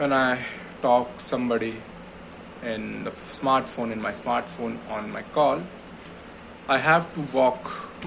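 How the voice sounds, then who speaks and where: At a fairly slow pace, a man talks at a medium pitch with ordinary pitch variation. The recording carries audible room echo and noticeable background noise. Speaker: vlogger. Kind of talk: personal vlog monologue. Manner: halting.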